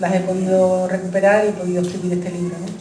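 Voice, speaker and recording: A soft-spoken woman is heard with audible room echo and noticeable background noise. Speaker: author presenting her book. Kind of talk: book presentation talk. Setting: public event with audience. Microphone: uses a microphone because she speaks quietly.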